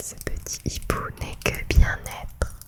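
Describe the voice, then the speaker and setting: A woman whispers her words at a very slow pace while noticeable background noise carries on around her. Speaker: ASMR creator playing a psychologist. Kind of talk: ASMR role-play, therapy session. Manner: soft-spoken, calm, relaxing.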